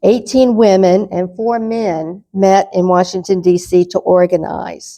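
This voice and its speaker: A woman speaks with a Southern accent at a fairly slow pace. Her medium-pitched voice has a dark, mellow tone and fairly even intonation. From North Carolina. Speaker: lecturer. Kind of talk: lecture.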